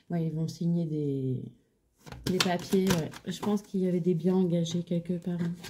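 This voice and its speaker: A woman speaks fairly slowly in a fairly low pitch, her intonation monotone and flat. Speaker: tarot card reader. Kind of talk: tarot reading. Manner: halting; soft-spoken, low voice.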